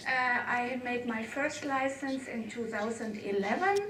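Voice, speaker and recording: Speaking at a fairly slow pace with a non-native accent, a woman holds a high pitch, with noticeable background noise and audible room echo. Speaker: amateur radio operator and conference speaker. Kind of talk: conference talk. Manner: halting.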